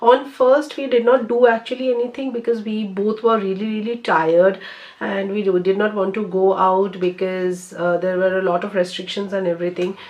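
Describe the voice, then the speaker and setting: Hardly pausing, a woman talks at a moderate pace and medium pitch with ordinary pitch variation. Noticeable background noise runs underneath. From India, Bengal. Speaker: beauty vlogger. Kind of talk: casual chat. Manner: hesitant, many fillers.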